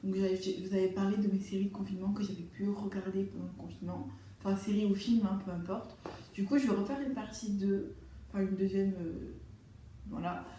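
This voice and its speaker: Against noticeable background noise, a woman speaks at a fairly quick pace and medium pitch in monotone, flat intonation. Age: 20s. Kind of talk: casual talk to camera. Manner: fast.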